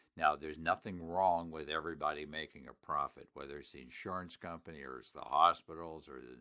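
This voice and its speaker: A man with an American accent speaks at a fairly quick pace in a very deep, low pitch. His tone is bright and sharp, with vocal fry. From Pittsburgh, Pennsylvania (US). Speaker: elder law attorney and radio host. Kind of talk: sponsored radio talk show. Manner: animated, emphatic.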